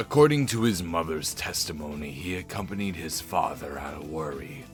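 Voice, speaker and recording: Over clear background music, a man uses a put-on character voice with a very deep, low pitch at a fairly slow pace. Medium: game stream. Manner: dry, self-assured.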